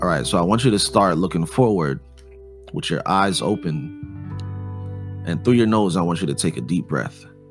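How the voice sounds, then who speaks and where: Over background music, a man speaks with lively intonation. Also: fairly low pitch for a man, moderate pace. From Jamaica. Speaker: podcast host, artist and music producer; meditation guide. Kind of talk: guided meditation.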